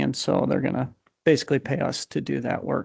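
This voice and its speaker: A soft-spoken man talks. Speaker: county roads official. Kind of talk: public meeting report. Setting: county board meeting.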